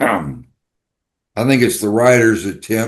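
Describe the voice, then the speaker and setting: Against a quiet background, a man talks with a Texan accent and ordinary pitch variation. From Texas. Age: 70s. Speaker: writer. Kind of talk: podcast interview. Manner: halting.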